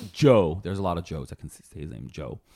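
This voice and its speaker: A man is speaking. His voice has vocal fry. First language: not English. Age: 30s. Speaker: podcast guest. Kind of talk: casual chat.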